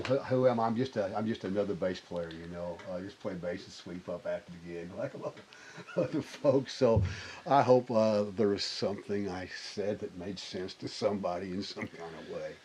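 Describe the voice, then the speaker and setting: With a Southern US accent, a man speaks at a moderate pace in a fairly low voice with ordinary pitch variation and big swings in loudness. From Arkansas (Springdale). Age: 60s. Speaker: bass player. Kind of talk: interview conversation. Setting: recording studio. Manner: halting, many false starts.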